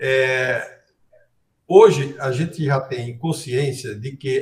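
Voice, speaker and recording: At a very slow pace, a man speaks in a somewhat breathy voice with ordinary pitch variation. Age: 70s. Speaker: cardiologist. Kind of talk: interview.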